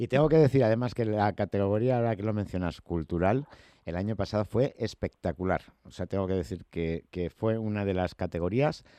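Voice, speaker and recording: This man has a plain, everyday voice. It sits fairly low in pitch with ordinary pitch variation. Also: fairly quick pace, dry, close sound with no echo, quiet background. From Spain. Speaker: radio host. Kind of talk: radio interview.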